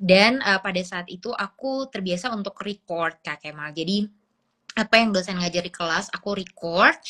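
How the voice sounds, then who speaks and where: A woman talks with a bright, sharp tone at a medium pitch. Her loudness swings widely. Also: ordinary pitch variation, moderate pace, dry, close sound with no echo. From Papua, Indonesia. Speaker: graduate student abroad. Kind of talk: interview. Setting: Instagram live stream.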